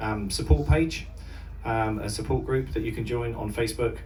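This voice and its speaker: A man with an English accent at a moderate pace, audible room echo and music in the background. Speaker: mental health charity volunteer. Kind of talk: speech to audience. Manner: halting.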